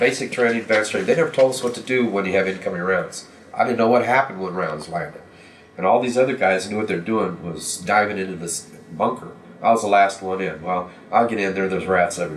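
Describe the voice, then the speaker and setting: A man with an American accent at a very fast pace, fairly low pitch and ordinary pitch variation, with audible room echo. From US Midwest (Kansas). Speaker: war veteran and history teacher. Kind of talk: interview testimony. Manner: halting.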